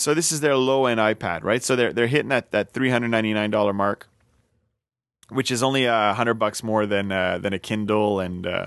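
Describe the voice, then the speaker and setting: With a French Canadian accent, this voice moves at a fairly quick pace with ordinary pitch variation over a quiet background. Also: man. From Quebec, French Canadian. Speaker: podcast host. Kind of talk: casual chat. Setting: home studio with bar.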